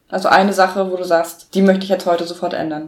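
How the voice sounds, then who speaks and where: A plain, everyday voice at a fairly quick pace. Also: woman. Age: 20s. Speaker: student, podcast co-host. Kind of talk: interview.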